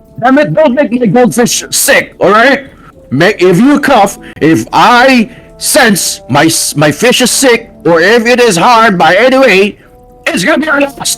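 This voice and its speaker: A man uses a squeaky, put-on character voice at an extremely high pitch. He talks at a fairly slow pace, with faint music in the background. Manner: threatening, gruff.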